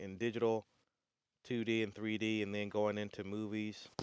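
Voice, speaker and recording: The delivery has a Southern US accent, a fairly quick pace and monotone, flat intonation. The sound is dry and close with no echo, over a quiet background. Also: man. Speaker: artist and channel owner. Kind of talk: casual website walkthrough. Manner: halting, many fillers.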